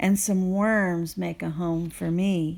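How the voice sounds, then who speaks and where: A woman puts on a character voice, pitched fairly low. She speaks at a fairly slow pace in a flat monotone. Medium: read story. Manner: light.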